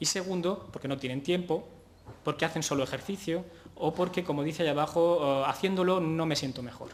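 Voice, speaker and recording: A man's fairly high pitch with ordinary pitch variation at a fairly quick pace. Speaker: physiotherapist, conference speaker. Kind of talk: conference talk. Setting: conference stage with audience. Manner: hesitant, many fillers.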